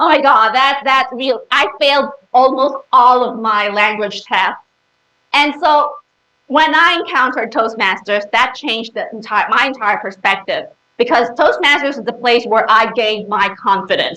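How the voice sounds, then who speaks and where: Bright, sharp female voice, high in pitch, at a moderate pace with ordinary pitch variation. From Philippines. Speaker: public speaking club member. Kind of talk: presentation to audience. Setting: stage with audience. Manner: animated.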